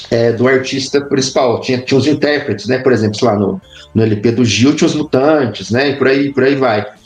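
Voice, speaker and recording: Noticeable background noise sits behind a man talking at a fairly quick pace. His loudness stays very even, with ordinary pitch variation. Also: medium pitch for a man. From Brazil, interior of Minas Gerais. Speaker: history professor. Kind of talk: casual interview chat.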